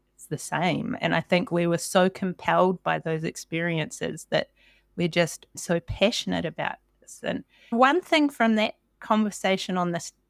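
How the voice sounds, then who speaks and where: A woman with a New Zealand accent speaks at a moderate pace and a medium pitch, her intonation showing ordinary variation and her loudness swinging widely, in a very clean, dry, close recording with a silent background and no echo. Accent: Kiwi. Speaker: podcast host. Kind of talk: interview. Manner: animated.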